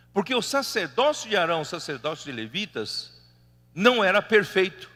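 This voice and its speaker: Speaking with a non-native accent at a fairly slow pace, a man uses a high pitch with very wide swings and a bright, sharp tone. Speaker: preacher. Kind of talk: sermon. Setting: church meeting hall. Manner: animated.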